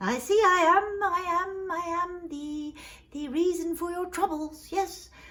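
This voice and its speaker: In a squeaky put-on character voice, a woman speaks at an extremely high pitch. Her pace is fairly slow. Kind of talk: bedtime story. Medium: read story. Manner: breezy, playful, slightly grand.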